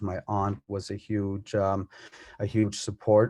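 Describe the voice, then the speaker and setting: In a quiet background, a dark, mellow voice speaks in a monotone, flat way, dry and close with no echo. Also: man. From Cape Breton, Nova Scotia (Mi'kmaq community). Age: 30s. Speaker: plumber and community mentor. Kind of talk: personal testimony. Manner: halting, many fillers.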